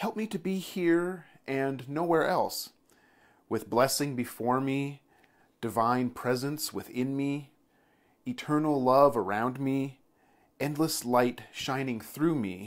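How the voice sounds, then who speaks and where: A very slow man's voice, calm and warm in tone, with ordinary pitch variation over a quiet background. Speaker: church leader. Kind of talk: fervent prayer, led aloud to a congregation. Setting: online video for church community. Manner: slow, calm, reverent, deliberate; warm, gentle, soothing. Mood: calm, reverent. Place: home room. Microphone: lapel.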